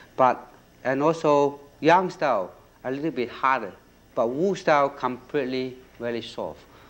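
Speaking at a moderate pace, a man uses a medium pitch with ordinary pitch variation.

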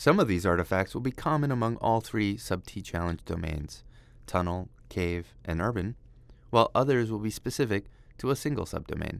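A man with a fairly low pitch uses an unremarkable speaking voice at a moderate pace. His intonation is lively, and the recording is very clean with a silent background. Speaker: program manager leading a mine tour. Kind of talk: guided walking tour narration, pointing out features. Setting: underground mine tunnel, walking. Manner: measured, explanatory guide pointing things out as he walks; friendly, lightly self-deprecating aside.

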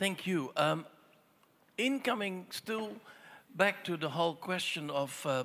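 Very wide pitch swings mark this man's speech. His tone is bright and sharp, at a fairly slow pace. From Netherlands. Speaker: audience member. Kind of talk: audience question. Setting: stage with audience. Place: stage.

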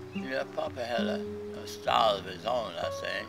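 A man is speaking. Loud music plays in the background. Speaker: son recalling his father. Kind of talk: interview answer. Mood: warm, reflective. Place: garden.

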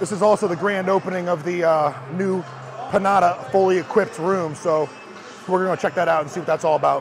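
A man speaks at a fairly quick pace in a high voice, with ordinary pitch variation and light background noise. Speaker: fitness vlogger. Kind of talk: casual vlog chat. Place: gym. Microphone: lapel.

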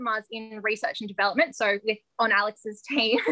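Against a quiet background, a speaker with an Australian accent sounds energetic. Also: woman. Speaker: ice cream business founder. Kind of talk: interview. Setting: video call. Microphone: video call.

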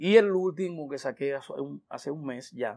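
The man's pitch varies in an ordinary way as he talks at a fairly slow pace, with a quiet background. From Dominican Republic. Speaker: merengue singer; guest. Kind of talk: interview. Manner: hesitant with many fillers. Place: studio. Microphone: lapel.

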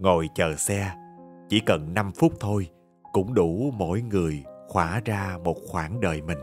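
In a Southern Vietnamese accent, a man with a very deep, low pitch speaks at a very slow pace with ordinary pitch variation, with music in the background. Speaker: radio announcer, TV host. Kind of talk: audiobook short story reading.

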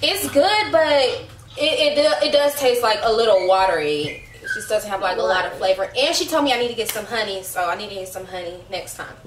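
A woman talking at a fairly quick pace, her loudness swinging widely, with audible room echo and light background noise. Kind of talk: casual vlog chat. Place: kitchen. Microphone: camera far.

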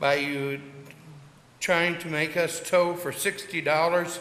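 A man speaks with a high voice. The room echoes audibly, and there is noticeable background noise. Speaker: towing company owner, public commenter. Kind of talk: public comment at council meeting. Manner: fast; impassioned.

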